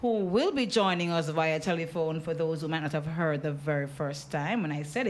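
A woman speaks with lively intonation. Her pitch is fairly low. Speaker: radio show host. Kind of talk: radio show introduction. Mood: warm, upbeat. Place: studio. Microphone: studio mic.

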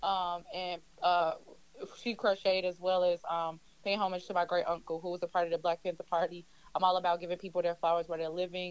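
A woman speaks at a fairly quick pace with a fairly low pitch. Her intonation is flat and monotone, and the sound is dry with no echo. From Chicago South Side; Chicago. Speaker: crochet fashion designer; guest. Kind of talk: interview. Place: studio. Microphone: studio mic.

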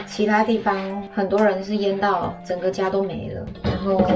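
A woman talks at a moderate pace. Music is clearly audible behind her. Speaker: vlogger. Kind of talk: casual vlog chat. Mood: subdued, sympathetic. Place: kitchen. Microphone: phone near.

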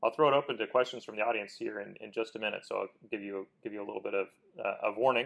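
Big swings in loudness mark a man's very fast speech over a quiet background. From Kansas. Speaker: lawyer and interview host; lawyer, interview host. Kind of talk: interview. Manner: hesitant, many fillers and repeated words. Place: studio. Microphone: lapel.

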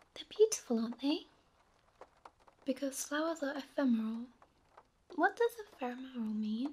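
This soft-spoken voice moves at a moderate pace. Long, frequent pauses break up the speech. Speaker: audiobook narrator. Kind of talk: sleep story. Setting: rain sounds in background.

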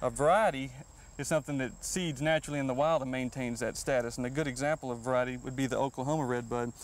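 In a Texan accent, a man at medium pitch talks at a very fast pace with fairly even intonation, the sound dry with no echo. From Texas. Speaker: horticulturist; guest. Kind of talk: gardening show interview. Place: garden. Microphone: lapel.

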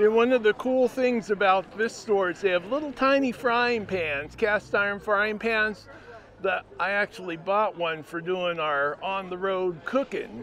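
Against light background noise, a man with a high pitch and ordinary pitch variation speaks at a fairly slow pace, in a dry sound with no echo. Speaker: travel vlogger. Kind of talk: casual vlog chat. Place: street. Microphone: phone near.

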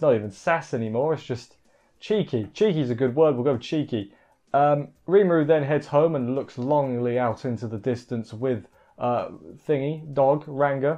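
A man speaks at a moderate pace in a dark, mellow tone. His pitch varies in an ordinary way, over a quiet background. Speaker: anime reviewer. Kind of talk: commentary. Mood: casual, joking.

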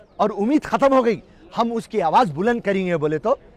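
Over light background noise, a man talks at a fairly slow pace with lively intonation, and the sound is dry with no echo. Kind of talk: interview answer, political speech. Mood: angry protest. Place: street. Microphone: handheld.

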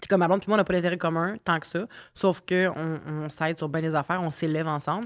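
Against a quiet background, a woman with a Quebec accent talks at a very fast pace, her fairly low pitch held in fairly even intonation. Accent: Québécois French. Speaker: singer and podcast host; podcast host. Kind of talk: casual chat. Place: home room. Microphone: studio mic.

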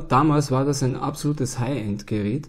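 Male voice at medium pitch, somewhat breathy, with ordinary pitch variation and a moderate pace. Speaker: board game YouTuber. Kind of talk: solo video monologue. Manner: casual, filler-heavy.

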